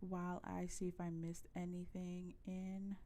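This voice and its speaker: A woman's medium-pitched voice with a dark, mellow tone and audible room echo. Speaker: gaming streamer. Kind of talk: live game stream chat. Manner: casual, many fillers (um).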